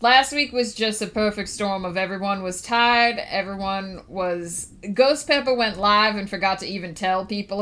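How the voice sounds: The speaker uses a natural reading voice. It stays that way throughout.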